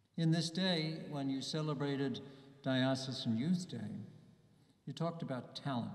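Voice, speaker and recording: At a moderate pace, a man talks in a fairly high pitch with ordinary pitch variation. The room echo is audible. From US, New Jersey. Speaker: bishop. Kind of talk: homily at Mass to young people, warm and reflective; sermon. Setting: church, Mass with a youth audience. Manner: earnest, personal, gently paced with small hesitations; warm and encouraging, building to a rousing close. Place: church. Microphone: podium.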